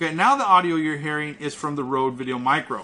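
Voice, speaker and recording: A loud man with a bright, sharp tone, a fairly high pitch and ordinary pitch variation. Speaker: tech reviewer. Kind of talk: product review tutorial.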